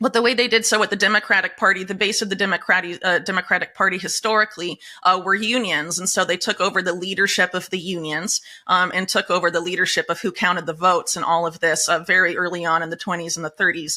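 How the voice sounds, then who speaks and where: Talking very fast with a bright, sharp tone and fairly even intonation, a woman speaks in an American accent. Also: medium pitch for a woman. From United States. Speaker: investigative journalist. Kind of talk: interview. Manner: many fillers and hesitations.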